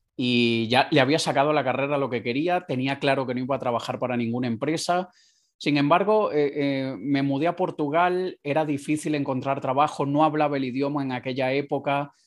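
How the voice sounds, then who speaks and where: A man's plain, everyday voice, fairly high in pitch, with fairly even intonation at a fairly quick pace, on a very clean recording with a silent background. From Venezuela (Caracas). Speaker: entrepreneur, digital marketing consultant. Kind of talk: interview.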